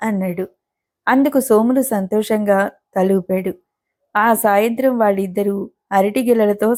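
The clip carries a natural reading voice against a quiet background.

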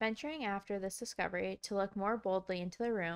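A passage is read aloud. Nothing about the reading is more than plain.

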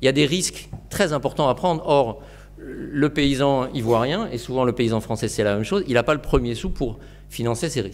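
Ordinary pitch variation marks this man's speech. He keeps a moderate pace. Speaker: forest restoration entrepreneur; lecturer. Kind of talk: presentation. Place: classroom.

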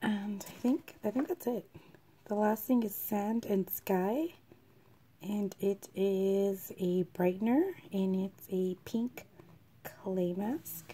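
A woman with a dark, mellow tone speaks very slowly, somewhat breathy, with ordinary pitch variation. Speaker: beauty vlogger. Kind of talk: casual talk to camera. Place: home room. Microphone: phone near.

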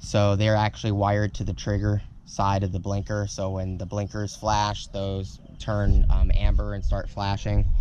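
Over light background noise, a man talks in a fairly low pitch with monotone, flat intonation. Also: moderate pace, dry sound with no echo. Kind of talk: casual vlog tutorial. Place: street. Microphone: phone near.

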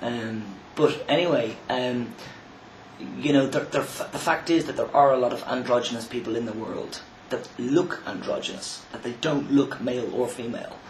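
With an Irish accent, a man speaks at a moderate pace and a medium pitch, using ordinary pitch variation. Audible room echo and light background noise are present. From Ireland. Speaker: vlogger. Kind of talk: video response monologue. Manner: halting. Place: home room. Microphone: webcam.

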